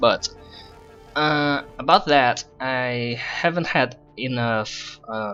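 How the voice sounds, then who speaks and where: There is music in the background as a man talks with a non-native accent. His pitch varies in an ordinary way. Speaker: game level designer. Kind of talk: casual gameplay commentary.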